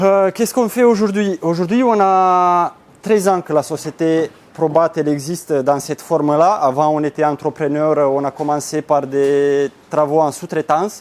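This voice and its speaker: A man speaks with a Romanian accent and a fairly high pitch. His pitch variation is ordinary and his pace fairly slow. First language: Romanian (speaking French). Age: 30s. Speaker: business owner. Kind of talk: conference talk. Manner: hesitant.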